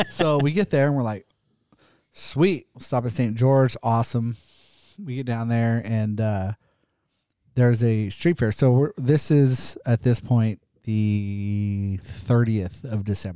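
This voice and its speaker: Very slowly and at a medium pitch, a man speaks with a dark, mellow tone and ordinary pitch variation on a very clean recording with a silent background. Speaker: podcast guest. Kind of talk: casual chat.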